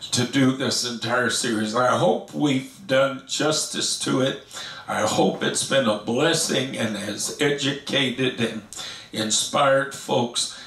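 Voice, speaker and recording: Heard with audible room echo, a man speaks at a very slow pace. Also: ordinary pitch variation. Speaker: pastor teaching Bible study. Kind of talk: sermon. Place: home room.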